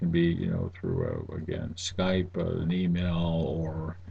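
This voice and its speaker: A somewhat breathy voice with a dark, mellow tone rings out in audible room echo. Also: man. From New England. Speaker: university instructor. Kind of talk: lecture. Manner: casual, halting with fillers.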